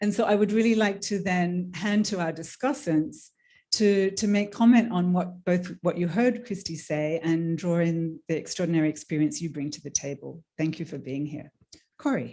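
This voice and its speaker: Over a very clean recording with a silent background, a woman with a fairly low pitch and a dark, mellow tone speaks at a moderate pace with lively intonation. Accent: Australian. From Australia. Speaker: panel moderator, trade union worker. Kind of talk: panel discussion moderation. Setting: conference room with audience.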